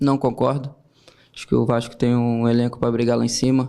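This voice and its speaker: A shaky male voice at a medium pitch carries a dark, mellow tone. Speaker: football player. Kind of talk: press conference answers. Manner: slightly trembling voice.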